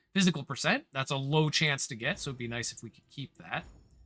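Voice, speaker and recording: Over music in the background, a man speaks at a fairly high pitch with ordinary pitch variation. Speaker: game guide streamer. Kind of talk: tutorial. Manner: casual.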